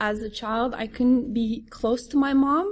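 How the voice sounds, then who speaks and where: Her voice is fairly high and somewhat breathy. The woman talks at a fairly slow pace. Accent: French. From France. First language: French. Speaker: recovering addict sharing story. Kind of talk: testimony. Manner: halting.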